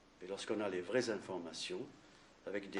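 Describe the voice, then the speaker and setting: This is a man talking. His pitch sits fairly low. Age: 60s. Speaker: cancer survivor giving testimony. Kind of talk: testimony. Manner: halting.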